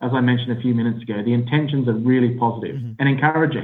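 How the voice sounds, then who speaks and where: In an Australian accent, this man delivers his words at a very fast pace. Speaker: business analyst. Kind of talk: interview.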